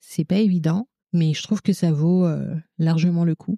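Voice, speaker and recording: With a Congolese accent, the voice moves at a very slow pace in a dark, mellow tone, its sound dry and close with no echo. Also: woman. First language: Lingala (speaking French). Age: 30s. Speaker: childcare worker and mother. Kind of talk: podcast interview testimony.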